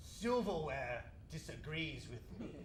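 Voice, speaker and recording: Against loud background noise, a man puts on a character voice, fairly high-pitched and pompous and theatrical in tone, at a fairly slow pace. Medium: stage play. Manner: pompous, theatrical.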